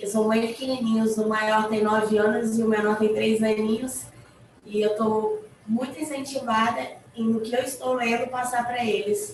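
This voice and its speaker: Moderate pace and fairly even intonation, with audible room echo and noticeable background noise. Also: woman, fairly high pitch for a woman. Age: 30s. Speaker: inmate in a prison reading project. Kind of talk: group introductions on a video call.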